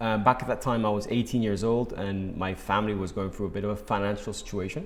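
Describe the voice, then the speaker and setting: A man with fairly low pitch talks at a very fast pace. His intonation stays fairly even. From Spain, Málaga. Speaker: real estate agency founder. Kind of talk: interview. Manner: hesitant, repeats words.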